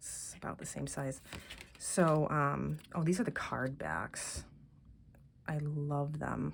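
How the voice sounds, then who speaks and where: A woman talks very slowly, with big swings in loudness and long, frequent pauses. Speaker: tarot deck reviewer. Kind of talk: casual walkthrough video. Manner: soft-spoken; halting, many fillers.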